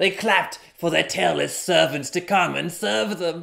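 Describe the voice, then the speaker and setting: Using a put-on character voice, a man swings his pitch very widely. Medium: read story. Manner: solemn, grudging storyteller.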